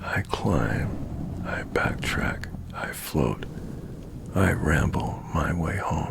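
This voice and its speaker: A man whispers at a very slow pace. Background noise is noticeable throughout. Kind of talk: poetry reading. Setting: studio, close microphone. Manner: slow, soft, half-whispered.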